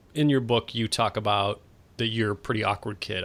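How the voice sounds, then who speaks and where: This man has an American accent, a bright, sharp tone, and fairly even intonation. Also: very clean recording, silent background. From West Texas. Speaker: podcast host. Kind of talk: interview.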